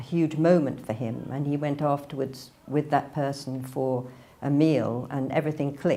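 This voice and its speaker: Speaking at a moderate pace with an English accent, a woman uses a very deep, low pitch and a dark, mellow tone with fairly even intonation. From northern England (near Manchester). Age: 60s. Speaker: religious convert. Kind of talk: testimony. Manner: casual, hesitant.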